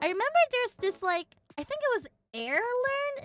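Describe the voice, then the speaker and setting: A woman in an Indonesian accent with an animated tone, very wide pitch swings, a moderate pace and a dry, close sound with no echo. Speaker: virtual streamer. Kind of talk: casual chat.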